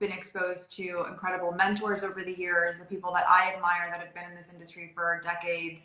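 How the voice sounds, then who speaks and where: A woman of medium pitch at a moderate pace, with audible room echo. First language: Spanish. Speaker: interior designer. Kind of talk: interview.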